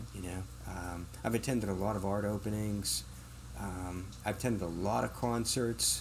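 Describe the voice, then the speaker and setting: At a moderate pace, a man speaks with vocal fry in a fairly low pitch, with audible room echo around him. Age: 60s. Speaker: bookstore owner. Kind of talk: podcast interview.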